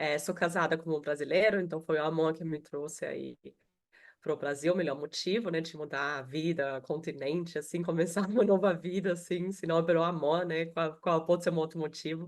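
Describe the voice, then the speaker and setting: This woman has an Austrian accent and a fairly low pitch. She talks at a moderate pace with fairly even intonation. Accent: noticeable Austrian accent in Portuguese. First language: German (speaking Portuguese). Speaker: HR professional. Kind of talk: webinar panel talk. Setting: video call.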